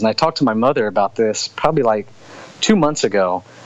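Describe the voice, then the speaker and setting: A man with a Louisiana accent speaks fairly quickly, his intonation lively. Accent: southern US (Louisiana). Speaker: author and soldier. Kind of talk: interview. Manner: casual.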